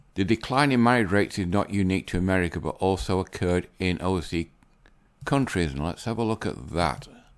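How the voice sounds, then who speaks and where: A man with an English accent speaks at a fairly quick pace in a very deep, low voice with lively intonation. The recording is very clean with a silent background. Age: 60s. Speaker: YouTuber commentator. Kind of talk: casual commentary reading articles. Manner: unscripted, some fluffs.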